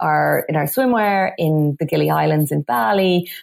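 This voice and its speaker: A woman with an Irish accent. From west of Ireland, Galway. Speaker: business coach and feng shui expert. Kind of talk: interview.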